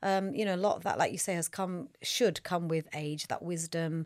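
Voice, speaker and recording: A woman with an ordinary speaking voice, fairly low in pitch, talks at a moderate pace with fairly even intonation in a very clean recording with a silent background and a dry, close sound with no echo. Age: 50s. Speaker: nutritionist and personal trainer. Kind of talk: casual chat.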